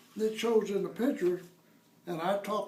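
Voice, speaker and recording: A man speaks at a moderate pace. There is audible room echo and noticeable background noise. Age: 70s. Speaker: fire victim homeowner. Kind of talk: interview.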